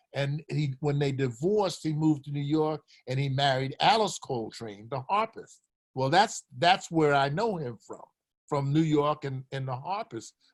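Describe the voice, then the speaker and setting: A fairly high-pitched man with an American accent, somewhat breathy, at a moderate pace and with ordinary pitch variation. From Philadelphia, US. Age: 80s+. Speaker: retired basketball coach. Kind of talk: casual chat.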